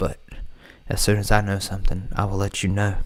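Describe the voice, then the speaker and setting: Soft-spoken and relaxed in tone, a man uses a fairly low pitch and monotone, flat intonation on a very clean recording with a silent background. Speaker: music producer and livestream host. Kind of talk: live stream tutorial chat. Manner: casual, relaxed.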